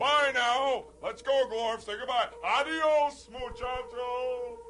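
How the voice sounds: In a put-on character voice, a man speaks slowly at an extremely high pitch, his tone bright and sharp and his intonation fairly even.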